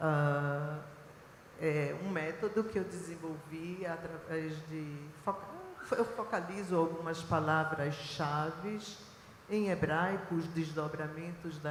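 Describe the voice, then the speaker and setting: A woman talks at a very slow pace with a fairly low pitch and fairly even intonation. Audible room echo and noticeable background noise fill the recording. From Israel (born in Recife, Brazil). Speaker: biblical archaeologist and professor. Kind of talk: panel talk. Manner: hesitant fillers.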